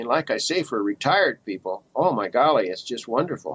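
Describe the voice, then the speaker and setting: A man speaks with an American accent and vocal fry. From US Midwest, South Bend Indiana. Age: 70s. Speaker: retired electronics technician, ham radio operator. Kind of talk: interview. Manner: halting.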